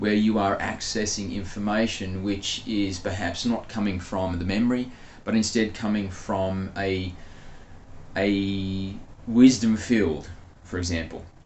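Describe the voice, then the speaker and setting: A man speaks at a fairly slow pace with fairly low pitch and fairly even intonation. Room echo is audible. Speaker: spiritual channeler. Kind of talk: casual monologue; channeled spiritual talk.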